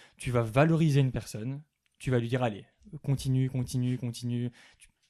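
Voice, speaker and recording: Speaking at a fairly quick pace, a man with a dark, mellow tone keeps his intonation fairly even. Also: medium pitch for a man, big swings in loudness. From Belgium. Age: 20s. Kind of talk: podcast interview. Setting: coworking space. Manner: articulate, at ease speaking.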